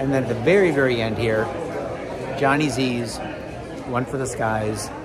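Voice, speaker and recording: Crowd noise fills the background as a man speaks at a moderate pace. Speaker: travel vlogger. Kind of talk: casual vlog chat. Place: hall. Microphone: phone near.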